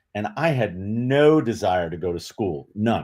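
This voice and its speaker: In a normal speaking voice, a man with an American accent talks at a fairly low pitch with lively intonation. The recording is very clean, with a silent background. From New York City. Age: 60s. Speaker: retired law enforcement officer, literacy advocate. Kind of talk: interview.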